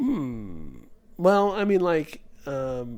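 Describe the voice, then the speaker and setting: A man speaks with very wide swings in pitch, and the room echo is audible. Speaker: podcast co-host. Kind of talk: casual discussion. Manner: stutters when searching for words.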